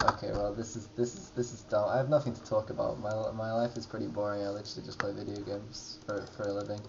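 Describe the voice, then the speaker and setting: A man with a fairly low voice talks very fast in a monotone, flat intonation, his loudness swinging widely. Noticeable background noise is present. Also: hardly any pauses. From England. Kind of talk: comedic life-story narration over drawings. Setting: poor-quality microphone recording. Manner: casual, rambling, hesitant.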